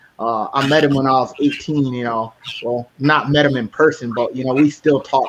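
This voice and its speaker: A medium-pitched man in an American accent at a moderate pace, fairly even intonation, and noticeable background noise. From United States. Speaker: podcast host. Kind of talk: casual chat. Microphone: distorted audio from recording platform.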